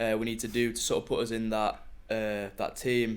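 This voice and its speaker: A man talks at a medium pitch and a moderate pace. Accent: Yorkshire. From northern England, Sheffield. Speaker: track cyclist. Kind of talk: casual interview chat. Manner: hesitant, many fillers.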